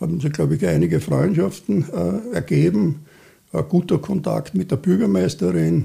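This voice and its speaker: A man's dark, mellow tone with vocal fry, very wide pitch swings and a fairly slow pace. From Austria, Vienna. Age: 70s. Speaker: cultural association chairman. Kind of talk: interview. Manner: halting, many fillers.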